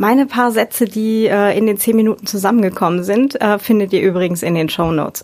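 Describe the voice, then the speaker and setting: Her medium pitch and ordinary pitch variation carry a woman's speech at a moderate pace. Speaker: podcast host. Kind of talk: casual chat. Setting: in-person group recording. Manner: smiling tone.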